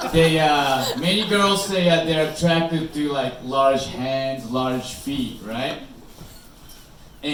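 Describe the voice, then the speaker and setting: Speaking very slowly with a Japanese accent, a man's fairly high voice comes through audible room echo and noticeable background noise. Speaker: comedian. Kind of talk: stand-up. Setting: stage with audience.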